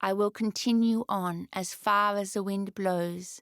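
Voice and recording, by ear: A natural voice reads the words aloud.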